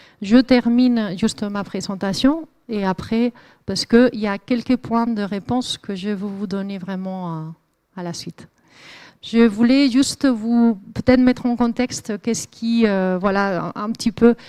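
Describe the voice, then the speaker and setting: A woman speaks at a fairly slow pace in a fairly high voice with a dark, mellow tone and ordinary pitch variation. The very clean recording has a silent background and a dry, close sound with no echo. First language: Spanish (speaking French). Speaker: climate researcher. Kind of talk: lecture. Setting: lecture hall with audience. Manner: hesitant, many fillers.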